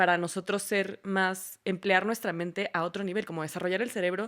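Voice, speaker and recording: A woman at a medium pitch and fairly quick pace, in a very clean recording with a silent background. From Venezuela. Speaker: podcast host. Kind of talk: podcast interview.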